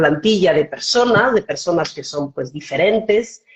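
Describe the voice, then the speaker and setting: A woman with a slight Mexican accent speaks at a moderate pace. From Switzerland, German-speaking part (Bern), Spanish parents. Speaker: foundation director. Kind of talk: interview on live stream. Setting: video call live stream.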